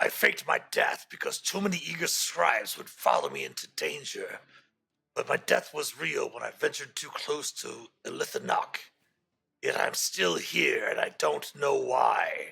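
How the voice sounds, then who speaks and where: Putting on a character voice, a man speaks at a moderate pace in a raspy, extremely high pitch. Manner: eerie.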